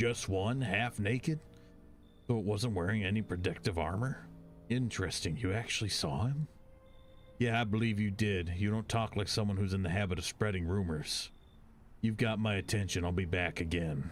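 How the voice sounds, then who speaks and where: A man's put-on character voice, fairly low and menacing in tone, at a moderate pace with ordinary pitch variation and clear background noise. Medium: video game. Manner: gruff, terse, menacing.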